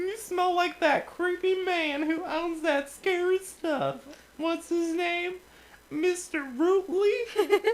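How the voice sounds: A man puts on a squeaky character voice at an extremely high pitch, speaking at a very slow pace.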